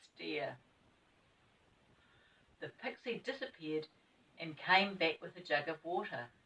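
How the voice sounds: A woman speaks at a fairly slow pace with a fairly bright tone. Her voice carries a slightly husky edge.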